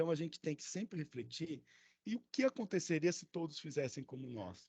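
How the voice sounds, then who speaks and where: This is a man talking. The sound is dry and close, with no echo. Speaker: education official leading student council meeting. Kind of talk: online meeting presentation. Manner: fast.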